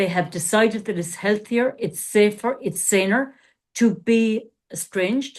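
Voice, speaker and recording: A woman's fairly high, fairly slow speech with ordinary pitch variation, an unremarkable speaking voice, over a quiet background. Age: 60s. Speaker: life coach and former therapist. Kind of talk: podcast discussion.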